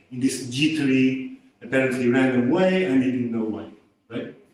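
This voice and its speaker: A man of medium pitch speaks in a Portuguese accent at a moderate pace with ordinary pitch variation, and audible room echo surrounds his voice. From Portugal. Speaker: researcher. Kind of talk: lecture. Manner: casual, with filler words.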